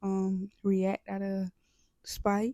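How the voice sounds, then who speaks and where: The recording of this woman's medium-pitched voice is dry and close, with no echo. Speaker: YouTuber. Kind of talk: casual vlog monologue. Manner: deliberately slowed, with restarts and fillers.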